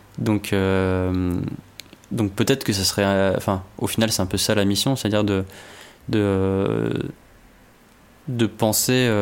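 Very slowly and with long, frequent pauses, a man with fairly low pitch speaks in very even loudness and fairly even intonation. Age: 20s. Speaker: energy engineer. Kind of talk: interview. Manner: halting.

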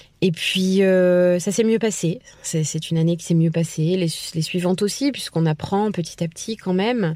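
A woman of fairly low pitch and dark, mellow tone, at a moderate pace with ordinary pitch variation. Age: 30s. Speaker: former English teacher. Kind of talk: testimony.

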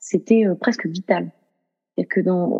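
Using an ordinary speaking voice, a woman talks at a medium pitch and a fairly slow pace with fairly even intonation. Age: 30s. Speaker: yoga student and association president. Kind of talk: interview.

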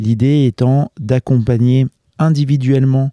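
A man's dark, mellow voice with fairly even intonation, in a dry, close sound with no echo. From France, Lyon region. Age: 40s. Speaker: mental performance coach. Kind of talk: casual interview. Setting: outdoors at home. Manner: halting, many repetitions and fillers.

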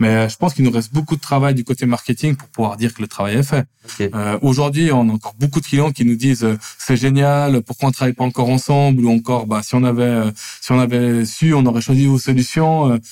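Dry and close with no echo, a man's dark, mellow voice moves at a fairly quick pace with fairly even intonation. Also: medium pitch for a man. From Switzerland, Lausanne. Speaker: startup founder and CEO. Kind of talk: podcast interview.

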